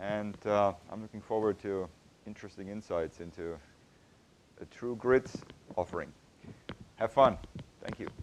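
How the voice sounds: A man with a fairly low pitch and a slightly mellow tone speaks at a moderate pace. His intonation is fairly even, broken by long, frequent pauses.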